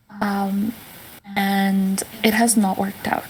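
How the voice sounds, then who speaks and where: Soft-spoken and at a medium pitch, a woman talks over noticeable background noise. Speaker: caller seeking advice. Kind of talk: casual chat. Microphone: too quiet, turned up by host.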